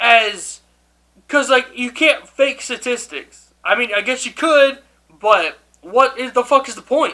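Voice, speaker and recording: A man's raised, projected voice, extremely high-pitched, bright and sharp in tone, at a fairly slow pace with ordinary pitch variation. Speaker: YouTuber. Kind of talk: casual rant to camera.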